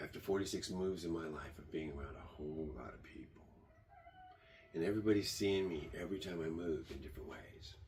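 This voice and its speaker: A man with a very deep, low voice and vocal fry talks at a fairly quick pace with ordinary pitch variation and audible room echo. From born in Germany, raised partly in Michigan. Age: 70s. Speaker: tiny house builder and vlogger. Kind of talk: rambling monologue.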